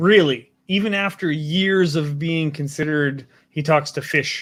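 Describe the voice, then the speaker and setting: With a Canadian prairie accent, a man speaks at a fairly slow pace. His pitch is fairly high, with ordinary variation. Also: very clean recording, silent background. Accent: Canadian prairie accent, noticeable. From Saskatchewan, Canada. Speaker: talk show host. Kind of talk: casual interview.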